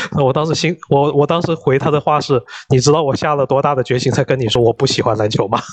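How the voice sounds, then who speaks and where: A man talks at a very fast pace with very even loudness against noticeable background noise. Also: fairly high pitch for a man, dry, close sound with no echo. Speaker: gamer and father of a young daughter. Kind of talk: casual chat.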